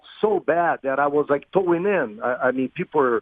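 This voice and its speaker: A man speaks with a Portuguese accent. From Brazil, Rio de Janeiro. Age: 50s. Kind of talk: radio interview. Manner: halting, many fillers.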